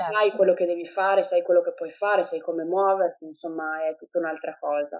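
Fairly quick and with hardly any pauses, a woman speaks with fairly even intonation. She has a plain, everyday voice at a fairly low pitch. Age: 20s. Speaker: mother sharing birth story. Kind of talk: testimony.

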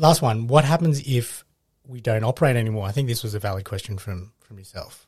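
A man with an Australian accent, medium-pitched and somewhat breathy, talking at a fairly quick pace with ordinary pitch variation and big swings in loudness

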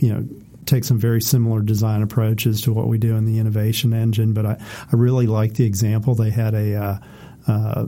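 Delivered at a moderate pace, a normal speaking voice keeps its intonation fairly even. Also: man. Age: 40s. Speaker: podcast co-host. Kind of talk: casual chat.

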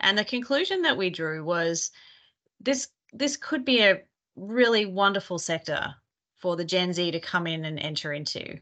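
A woman speaks with an Australian accent at a moderate pace against a quiet background. Her medium-pitched voice has a bright, sharp tone and lively intonation. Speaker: consultant, workforce advisory partner. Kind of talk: interview.

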